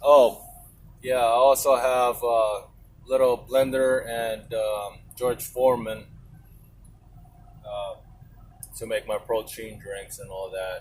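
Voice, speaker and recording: Speaking with a Filipino accent, a man goes at a very slow pace with long, frequent pauses, fairly even intonation and big swings in loudness. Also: medium pitch for a man. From Philippines. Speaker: truck driver vlogger. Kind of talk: casual vlog monologue. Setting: inside truck cab. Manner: rambling, hesitant.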